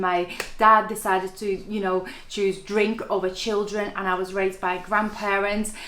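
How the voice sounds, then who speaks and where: With noticeable background noise, a woman speaks at a fairly quick pace and a medium pitch, in a monotone, flat intonation. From Latvia. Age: 30s. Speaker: network marketing entrepreneur. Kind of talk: interview.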